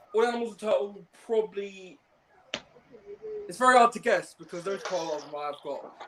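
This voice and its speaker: With a southern English accent, the speaker goes at a fairly quick pace with ordinary pitch variation, long, frequent pauses and big swings in loudness. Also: man, high pitch for a man. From Surrey, southern England. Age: 20s. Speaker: viewer guest on a livestream. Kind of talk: casual chat. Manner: excited, repetitive.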